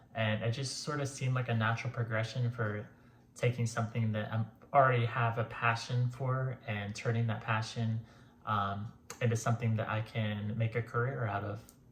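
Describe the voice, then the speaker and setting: A man speaks at a moderate pace in monotone, flat intonation. His voice is somewhat breathy. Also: medium pitch for a man. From Florida. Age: 30s. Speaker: physical therapy program applicant. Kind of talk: interview answers to camera.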